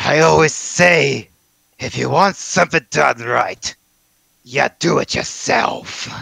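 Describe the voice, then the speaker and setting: In a put-on character voice, a man sounds raspy at a fairly high pitch and a fairly slow pace. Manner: smug, menacing.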